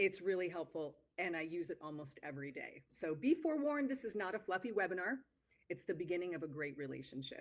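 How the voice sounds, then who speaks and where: Her pitch fairly low, a woman talks at a fairly quick pace with lively intonation. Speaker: marketing consultant. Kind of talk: webinar presentation. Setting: live webinar. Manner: fast.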